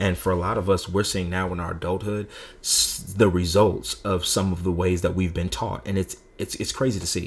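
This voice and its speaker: Somewhat breathy male speech, very deep and low, at a moderate pace. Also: fairly even intonation. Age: 30s. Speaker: minister and podcast co-host. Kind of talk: casual faith discussion.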